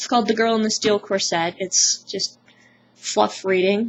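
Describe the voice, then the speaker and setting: The woman's speech has ordinary pitch variation. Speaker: vlogger. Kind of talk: casual vlog monologue. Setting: at home, close to camera. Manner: loud. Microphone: webcam mic, sound very quiet; poor sound quality.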